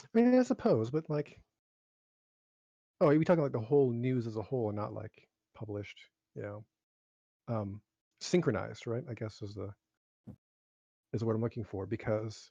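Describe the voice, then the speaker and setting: A man mumbles at a medium pitch in a dark, mellow, somewhat breathy tone with ordinary pitch variation. His loudness swings widely, and he leaves long, frequent pauses. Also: moderate pace, dry, close sound with no echo. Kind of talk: casual chat. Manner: mumbling.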